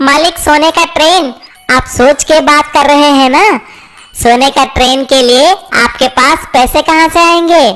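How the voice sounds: This cartoonish character voice moves at a moderate pace with very even loudness. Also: woman, high pitch for a woman.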